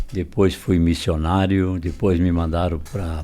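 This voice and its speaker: A man's very deep, low voice with a dark, mellow tone at a fairly slow pace. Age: 60s. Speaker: pastor and missionary. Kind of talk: testimony.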